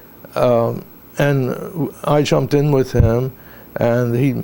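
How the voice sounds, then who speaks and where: This man has a medium pitch. He uses ordinary pitch variation. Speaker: war veteran. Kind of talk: oral history interview. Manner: halting.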